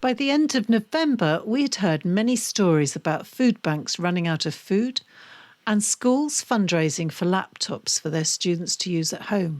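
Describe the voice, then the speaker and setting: A woman with a British accent speaks at a moderate pace in a medium pitch with very wide pitch swings, on a very clean recording that has a silent background and a dry, close sound with no echo. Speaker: podcast host. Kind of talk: scripted narration.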